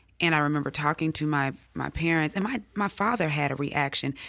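Speaking with a Mississippi accent, a woman with a very deep, low pitch keeps her loudness very even on a very clean recording with a silent background. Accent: Southern US (Mississippi). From US South, Jackson, Mississippi. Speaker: English professor. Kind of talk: interview.

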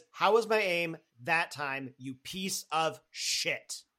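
A man speaks slowly in a put-on character voice with a fairly high pitch. His tone is bright and sharp. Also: lively intonation.

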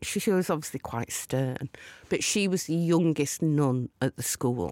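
A woman speaks with a Lancashire accent and lively intonation. The recording is very clean with a silent background, dry and close with no echo. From Lancashire, northern England. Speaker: TV producer and DJ. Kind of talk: casual chat. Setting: studio.

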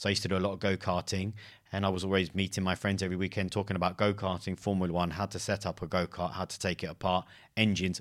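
Very fast speech in a London accent keeps a monotone, flat intonation on a very clean recording with a silent background. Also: man. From London, England. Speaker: podcast host, careers advisor. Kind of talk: interview.

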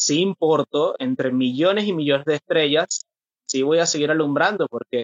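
At a moderate pace, a man with a plain, everyday voice speaks at a fairly high pitch with ordinary variation. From Venezuela. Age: 30s. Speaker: mental health activist. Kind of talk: interview about personal mental health experience.

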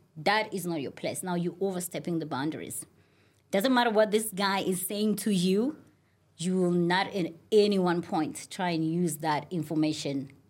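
A woman's animated delivery at a moderate speed, with ordinary pitch variation. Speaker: reality TV star. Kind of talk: casual chat.

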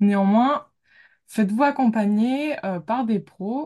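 Against a quiet background, a woman talks at a fairly slow pace. Her tone is dark, mellow and somewhat breathy, with ordinary pitch variation. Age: 20s. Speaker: graphic designer and amateur astrologer. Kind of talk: casual interview.

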